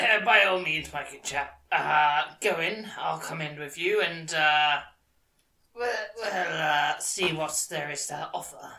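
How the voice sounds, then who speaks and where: A raspy, put-on character voice at a middle pitch moves at a fairly slow pace with long, frequent pauses. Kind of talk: posh old-fashioned politeness. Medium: actual play. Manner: jovial, welcoming.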